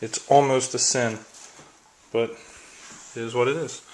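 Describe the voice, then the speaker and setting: There is noticeable background noise. Over it, a man speaks in a monotone, flat intonation. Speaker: wargaming hobbyist video maker. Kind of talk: product unboxing review. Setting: at home, filming one-handed. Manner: casual, chatty.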